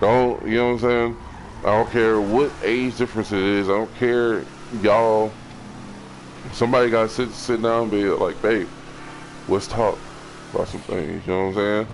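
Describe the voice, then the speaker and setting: A man speaks at medium pitch and a moderate pace in a flat monotone, with long, frequent pauses and noticeable background noise. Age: 20s. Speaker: streamer. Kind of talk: casual advice talk. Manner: gets loud; halting, repetitive.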